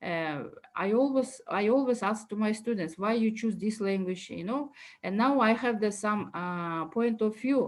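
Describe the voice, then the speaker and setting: A woman with a Kyrgyz accent at a fairly slow pace, fairly high in pitch, with ordinary pitch variation. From Kyrgyzstan. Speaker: university lecturer. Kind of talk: academic talk. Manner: halting, many fillers.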